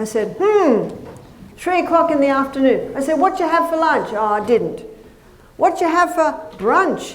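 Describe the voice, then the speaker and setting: In an Australian accent, a woman with an extremely high pitch and very wide pitch swings speaks at a moderate pace with long, frequent pauses, amid noticeable background noise and audible room echo. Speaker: nutritionist and health educator. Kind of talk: lecture.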